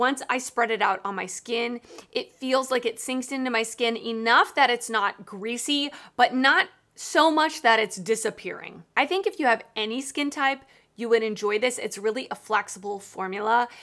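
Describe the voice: Against a very clean recording with a silent background, a woman speaks at a moderate pace with few pauses, a fairly high pitch, a bright, sharp tone and ordinary pitch variation.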